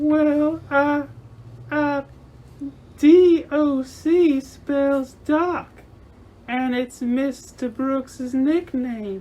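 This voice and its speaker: Using a put-on character voice with a high pitch, a woman speaks at a very slow pace with long, frequent pauses. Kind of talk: old-time radio mystery acting. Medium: audio drama.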